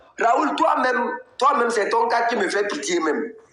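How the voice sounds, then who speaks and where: A man with an extremely high pitch speaks fairly slowly, his pitch swinging very widely amid audible room echo. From Togo, Kabye. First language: Kabye (speaking French). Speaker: political activist and blogger. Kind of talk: live political commentary. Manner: animated.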